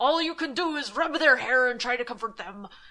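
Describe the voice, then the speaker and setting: A woman in a put-on character voice talks at a fairly quick pace, high in pitch with lively intonation. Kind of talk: spooky campfire storytelling. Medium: read story. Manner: ominous.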